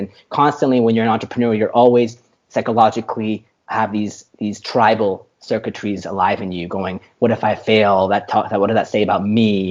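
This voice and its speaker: A man's fairly quick, monotone delivery, flat in intonation and fairly low in pitch. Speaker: tech startup founder. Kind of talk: interview conversation. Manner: fast.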